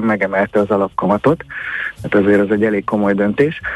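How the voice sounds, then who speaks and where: Recorded dry and close with no echo, a man is talking. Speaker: financial analyst. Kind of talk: radio interview.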